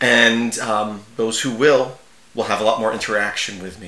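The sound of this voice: A man speaks at a fairly low pitch with a bright, sharp tone. His intonation stays fairly even, and there is audible room echo. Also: moderate pace.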